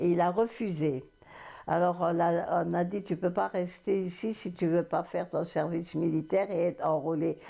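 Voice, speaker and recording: The tone is dark and mellow. Vocal fry runs through the voice. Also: woman. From Moselle, France. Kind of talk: interview answer. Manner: hesitant.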